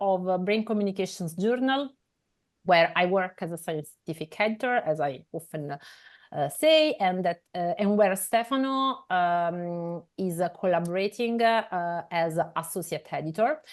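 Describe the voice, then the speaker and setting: A woman talks with an Italian accent at a fairly slow pace. Her intonation is lively. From Italy. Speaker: scientific editor and interviewer. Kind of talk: interview. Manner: hesitant, many fillers.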